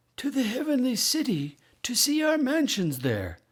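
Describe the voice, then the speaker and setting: A man puts on a character voice at an extremely high pitch. It has a warm, gentle tone and a moderate pace. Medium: read story. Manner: warm, gentle, reassuring.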